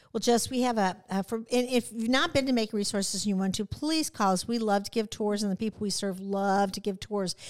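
A woman with an American accent at a medium pitch, with ordinary pitch variation, a fairly quick pace and hardly any pauses, on a very clean recording with a silent background. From central Illinois, US Midwest. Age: 60s. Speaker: nonprofit CEO. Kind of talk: casual interview. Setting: studio. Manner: animated.

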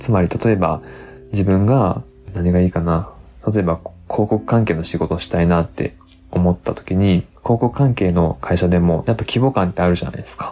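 With music in the background, a man speaks at a moderate pace in a very deep, low pitch with ordinary variation and a relaxed tone. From Japan, Tottori. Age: 30s. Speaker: English teacher and podcast host. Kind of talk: casual solo talk. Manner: relaxed, conversational.

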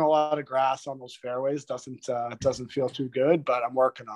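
With an Ontario accent, the speaker keeps a moderate pace and fairly even intonation against a quiet background. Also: man. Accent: Canadian (Ontario). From Toronto, Ontario, Canada. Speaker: retired pro hockey player. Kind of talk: casual interview chat.

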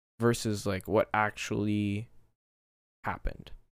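A man speaks at a very slow pace. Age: 20s. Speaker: podcast host, engineering student. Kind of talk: casual solo monologue. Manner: hesitant, many fillers.

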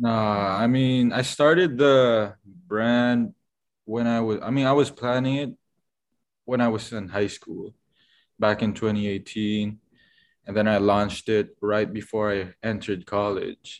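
A man speaks in a medium pitch with fairly even intonation. The background is quiet. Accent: Filipino. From Philippines. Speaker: fashion designer. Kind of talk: casual interview. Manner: halting, many fillers.

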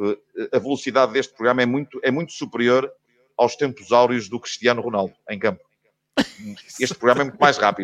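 The recording is dry and close with no echo, carrying a man's medium-pitched voice. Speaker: football radio commentator. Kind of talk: casual chat.

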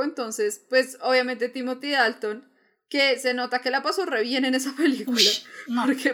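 A woman with a high pitch and a bright, sharp tone speaks at a moderate pace with fairly even intonation. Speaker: podcast co-host. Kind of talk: casual chat.

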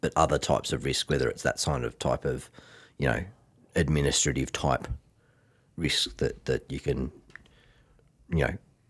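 Dry and close with no echo, the recording has a man speaking at a moderate pace with an Australian accent and vocal fry. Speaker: finance podcast co-host. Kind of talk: casual chat.

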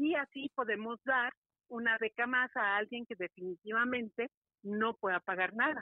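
A woman's fairly high-pitched, ordinary speaking voice at a moderate pace, with ordinary pitch variation. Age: 50s. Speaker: karate teacher. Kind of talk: interview. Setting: phone call.

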